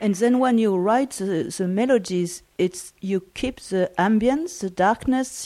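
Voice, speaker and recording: A woman speaks very slowly at a medium pitch, her tone dark and mellow and her pitch varying in an ordinary way, in a very clean recording with a silent background. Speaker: podcast host. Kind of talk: podcast intro and interview questions, radio DJ patter. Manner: warm, enthusiastic, multilingual greeting.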